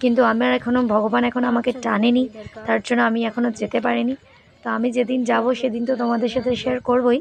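A woman's voice at very even loudness, with noticeable background noise. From West Bengal, Purulia. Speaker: vlogger. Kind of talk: travel vlog. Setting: outdoors on a hill. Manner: chatty, addresses viewers directly.

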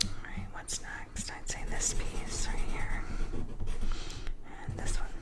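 Very slow whispering from a woman amid noticeable background noise. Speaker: ASMR artist. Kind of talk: ASMR whispered art drawing narration. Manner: whispered, soft-spoken.

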